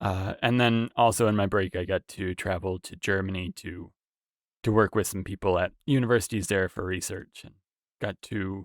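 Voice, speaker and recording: This man has a plain, everyday voice, fairly low in pitch, with a Canadian accent. His moderate pace and fairly even intonation come through a dry, close sound with no echo, in a very clean recording with a silent background. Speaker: researcher. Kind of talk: casual chat.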